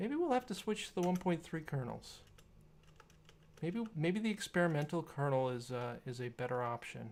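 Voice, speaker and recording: Delivered at a moderate pace, this voice comes through on a very clean recording with a silent background. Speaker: tech streamer. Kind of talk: live stream tinkering commentary. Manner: halting.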